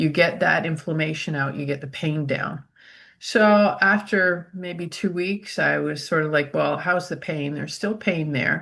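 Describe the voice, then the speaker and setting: A woman with a fairly low pitch and vocal fry talks at a fairly slow pace. Her pitch varies in an ordinary way over a quiet background. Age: old. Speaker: essential oil user. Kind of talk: casual chat.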